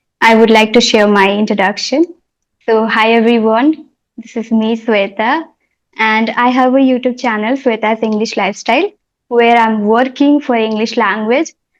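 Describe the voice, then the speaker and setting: This woman talks at a moderate pace, her fairly high voice keeping a fairly even intonation. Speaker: English teacher and YouTuber. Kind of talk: interview. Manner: calm.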